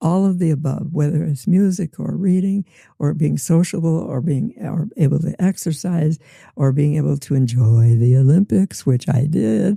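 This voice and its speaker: A woman with an American accent speaks at a moderate pace in a very deep, low voice that is somewhat breathy. Her tone is dark and mellow, her intonation lively, and the sound dry and close with no echo. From US Midwest. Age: 90s. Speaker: retired teacher. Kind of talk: interview answer.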